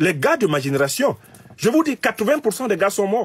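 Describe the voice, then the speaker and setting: A man's voice moves through very wide pitch swings. He talks at a fairly slow pace. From Cameroon. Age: 50s. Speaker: political commentator. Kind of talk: political commentary monologue. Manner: animated.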